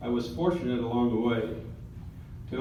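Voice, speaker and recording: A man talks fairly quickly while audible room echo and noticeable background noise fill the recording. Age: 70s. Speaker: retired military pilot. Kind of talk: acceptance speech.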